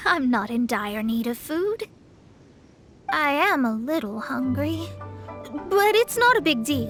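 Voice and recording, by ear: A woman puts on a character voice, high in pitch with big swings and a fairly bright tone. She speaks at a slow pace over faint background music.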